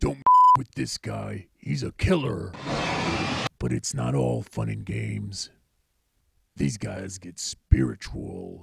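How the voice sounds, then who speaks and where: With sound effects in the background, a raspy man with a very deep, low pitch speaks at a fairly slow pace, leaving long, frequent pauses. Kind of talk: mock nature documentary. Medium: short film. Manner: brash, comic, boastful.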